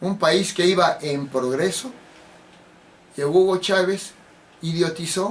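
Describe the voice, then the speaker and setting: A man with a high-pitched voice and ordinary pitch variation talks at a very slow pace, leaving long, frequent pauses. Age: 70s. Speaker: political commentator. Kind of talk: political monologue.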